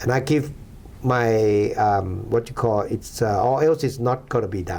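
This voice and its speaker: At a fairly slow pace, a man with a medium pitch speaks with a Thai accent and ordinary pitch variation. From Thailand. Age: 60s. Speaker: former Thai officer, donor. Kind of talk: interview. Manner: halting.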